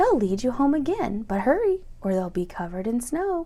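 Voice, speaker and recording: Over light background noise, a woman does a put-on character voice, high-pitched with very wide pitch swings, at a moderate pace. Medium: read story. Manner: hooting.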